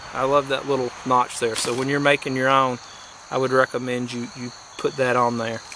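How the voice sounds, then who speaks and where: Delivered at a moderate pace in a North Georgia accent, the speech carries noticeable background noise. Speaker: outdoor craft hobbyist. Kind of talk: casual tutorial demonstration. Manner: casual, halting with fillers.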